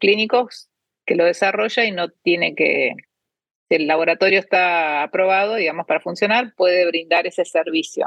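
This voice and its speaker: Speaking at a fairly slow pace, a woman has a fairly low voice. Her pitch moves in an ordinary way. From Argentina. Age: 50s. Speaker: cancer researcher and biotech startup founder. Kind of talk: interview. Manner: hesitant, many fillers.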